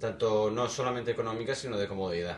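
The speech runs at a very fast pace. Noticeable background noise is present. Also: man. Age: 40s. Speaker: podcast co-host. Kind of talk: casual chat.

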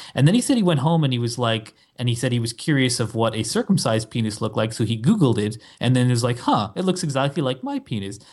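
A man rushes along at a very fast pace with hardly any pauses, his somewhat breathy voice at a medium pitch with ordinary pitch variation. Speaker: podcast co-host. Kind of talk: casual chat.

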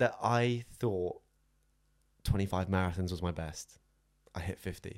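Speaking at a fairly slow pace, a man with a fairly low pitch leaves long, frequent pauses. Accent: southern English. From southern England (Southampton). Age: 20s. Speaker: run coach. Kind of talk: casual chat.

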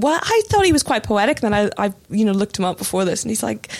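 Over noticeable background noise, a woman with a fairly high pitch talks at a very fast pace. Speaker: journalist and novelist. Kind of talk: casual chat.

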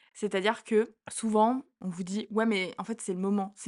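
A woman's medium-pitched voice with fairly even intonation, dry and close with no echo, against a quiet background. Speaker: podcast co-host, student. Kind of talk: casual chat.

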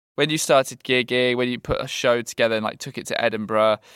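A man with a British accent, medium in pitch and bright, sharp in tone, in a dry, close recording with no echo. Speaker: podcast host. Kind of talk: casual chat.

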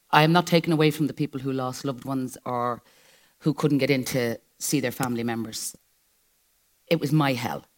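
With an Irish accent and a very deep, low pitch, a woman speaks at a moderate pace, leaving long, frequent pauses. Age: 60s. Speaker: live show guest. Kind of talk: live stage interview.

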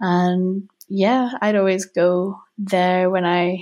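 A woman speaks with a Welsh accent. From North Wales. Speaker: emotional intelligence coach. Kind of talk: interview conversation.

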